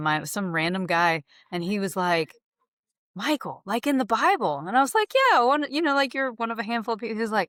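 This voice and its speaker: On a very clean recording with a silent background, a woman with an American accent talks at a fairly quick pace, her pitch swinging very widely. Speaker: real estate agent. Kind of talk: podcast interview. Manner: casual, conversational.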